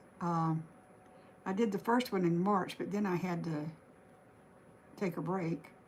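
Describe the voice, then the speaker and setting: A woman with a Southern US accent speaks at a fairly low pitch and a fairly slow pace. Her intonation is fairly even, with long, frequent pauses. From Alabama. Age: 70s. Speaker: craft livestreamer. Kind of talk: live stream painting tutorial chat. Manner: casual, halting.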